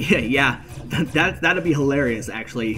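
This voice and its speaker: Music plays in the background. A man of medium pitch talks with lively intonation. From Canada. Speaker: game streamer. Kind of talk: live stream commentary. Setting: live stream. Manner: fast; slurred words blending together.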